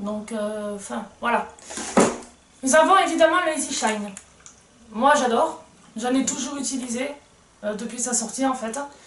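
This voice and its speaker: A woman with a high pitch and ordinary pitch variation talks at a moderate pace with long, frequent pauses, amid audible room echo and noticeable background noise. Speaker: equestrian vlogger. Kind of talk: unboxing video. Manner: halting.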